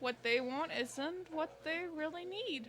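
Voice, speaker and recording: In a put-on character voice, a woman speaks at a fairly slow pace with an extremely high pitch, and background noise is clearly audible. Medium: game stream. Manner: sly, theatrical.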